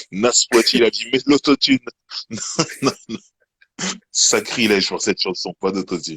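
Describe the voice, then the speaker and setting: Bright, sharp male voice with lively intonation, a fairly slow pace and long, frequent pauses. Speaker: live show co-host, music talk. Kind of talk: casual chat.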